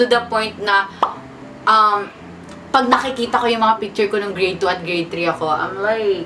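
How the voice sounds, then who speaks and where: Against noticeable background noise, a woman speaks at a moderate pace in a medium-pitched voice with an animated tone. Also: ordinary pitch variation. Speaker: YouTuber, vlogger. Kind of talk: casual sit-down talk to camera. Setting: seated in front of camera.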